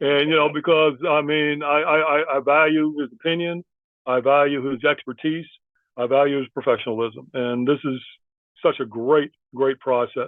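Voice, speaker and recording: At a moderate pace, a man with a plain, everyday voice speaks at fairly high pitch with fairly even intonation. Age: 60s. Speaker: program alum and graduate student. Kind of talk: panel discussion.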